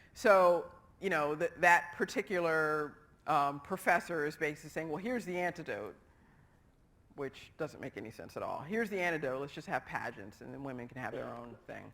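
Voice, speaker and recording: A woman's very deep, low voice with vocal fry, lively intonation, big swings in loudness and a fairly quick pace, on a very clean recording with a silent background. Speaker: psychology lecturer. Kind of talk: lecture. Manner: fast.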